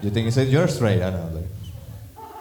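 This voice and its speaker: A fairly low-pitched man's voice amid noticeable background noise and audible room echo. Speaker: stand-up comedian. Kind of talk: stand-up.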